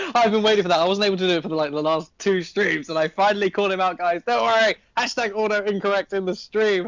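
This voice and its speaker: A man with a British accent talks at a very fast pace with hardly any pauses. His pitch is high. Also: ordinary pitch variation. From Britain. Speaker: esports caster. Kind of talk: live commentary.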